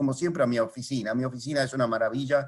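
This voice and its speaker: Fairly quick speech from a man, medium in pitch. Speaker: philately lecturer. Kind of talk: lecture. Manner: soft-spoken, calm.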